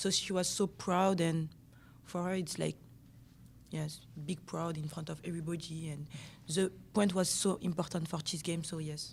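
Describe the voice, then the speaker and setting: A woman's fairly low, flat monotone in a French accent, with vocal fry, a moderate pace, long, frequent pauses and a very clean recording with a silent background. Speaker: interpreter for teammate, footballer. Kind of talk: press conference interpreting. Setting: press conference. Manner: halting.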